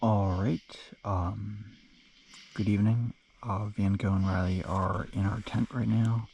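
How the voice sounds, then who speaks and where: Soft-spoken and somewhat breathy, a man talks at a fairly slow pace in a dark, mellow tone, with very even loudness, fairly even intonation, and long, frequent pauses. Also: fairly low pitch for a man. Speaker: long-distance hiker vlogger. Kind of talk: casual vlog narration. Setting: in a tent at a campsite. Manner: halting, many fillers.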